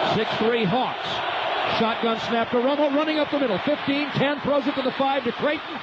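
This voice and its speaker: Noticeable background noise behind a man speaking at a moderate speed. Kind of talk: live sports commentary.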